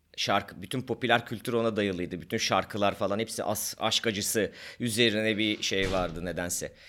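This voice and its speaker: Fairly low in pitch with ordinary pitch variation, a man speaks in a bright, sharp tone at a fairly quick pace in a very clean recording with a silent background. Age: 40s. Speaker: podcast co-host, doctor. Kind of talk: casual chat.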